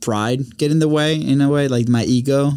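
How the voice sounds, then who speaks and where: In a dark, mellow tone, a man with a Spanish accent speaks at a moderate pace with ordinary pitch variation. The recording is very clean, the background silent. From Venezuela. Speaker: podcast studio owner, content producer. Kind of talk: casual interview.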